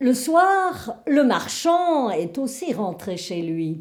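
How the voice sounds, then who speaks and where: A woman speaks at a very slow pace. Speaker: storyteller. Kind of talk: Christmas folk tale told aloud.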